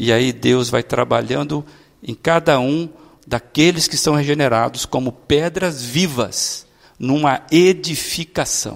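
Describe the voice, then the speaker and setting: A man with a fairly high pitch talks very slowly, his pitch moving in an ordinary way. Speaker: pastor. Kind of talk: sermon. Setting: church.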